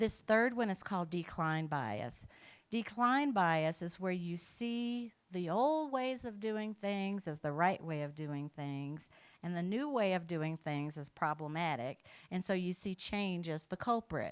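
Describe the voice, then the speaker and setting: This woman has an ordinary speaking voice with a fairly low pitch. She speaks at a fairly slow pace. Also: lively intonation. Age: 60s. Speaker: keynote speaker, equity consultant. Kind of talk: conference keynote.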